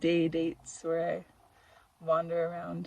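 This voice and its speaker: A woman speaks in a soft-spoken way. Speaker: vlogger and photographer. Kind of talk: casual vlog narration. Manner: hesitant, many fillers. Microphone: phone mic, audio glitchy.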